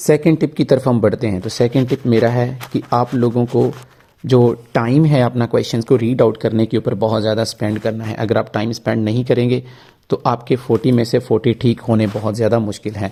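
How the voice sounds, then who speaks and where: Somewhat breathy and dark, mellow in tone, a man speaks at a medium pitch. His pace is moderate and his intonation fairly even. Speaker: IELTS teacher. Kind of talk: tutorial.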